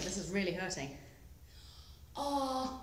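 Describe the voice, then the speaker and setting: A woman is speaking. The room adds an audible echo. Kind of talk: casual vlog chat. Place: garage. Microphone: phone near.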